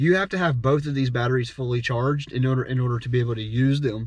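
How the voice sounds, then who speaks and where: Against a quiet background, a man speaks at a fairly quick pace. His voice is somewhat breathy, with a medium pitch and ordinary pitch variation. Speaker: drummer and gear reviewer. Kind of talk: product review. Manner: fast; casual, many fillers.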